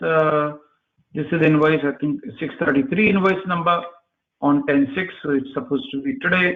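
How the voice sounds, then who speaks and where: At a fairly slow pace, a man speaks in a normal speaking voice with lively intonation. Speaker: software trainer. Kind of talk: live online class.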